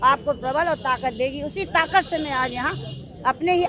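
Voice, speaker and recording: A woman's high-pitched voice at a moderate pace with ordinary pitch variation, over noticeable background noise. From Bundelkhand, Uttar Pradesh (Jhansi). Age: 60s. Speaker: folk artist and social worker. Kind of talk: interview.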